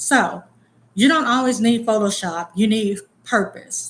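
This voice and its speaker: Somewhat breathy, a woman speaks at a fairly slow pace. Her pitch is fairly high, with ordinary variation. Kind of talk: casual vlog talk. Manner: casual, occasionally tongue-tied.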